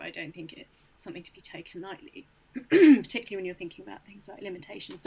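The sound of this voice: A woman puts on a character voice that is raspy, croaky and hoarse, at a medium pitch. She rattles along at a very fast pace.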